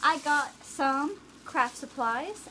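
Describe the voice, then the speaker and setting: A woman's raised, projected voice, high in pitch. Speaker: DIY crafts vlogger. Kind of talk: tutorial.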